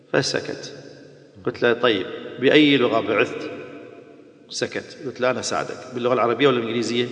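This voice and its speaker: Over noticeable background noise, a man speaks at a medium pitch and moderate pace, with fairly even intonation and long, frequent pauses. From Iraq. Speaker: Islamic preacher.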